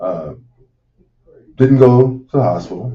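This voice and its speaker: A man is speaking. His voice has vocal fry. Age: 60s. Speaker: radio host and medical professional. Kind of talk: radio talk show monologue. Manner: halting, many fillers.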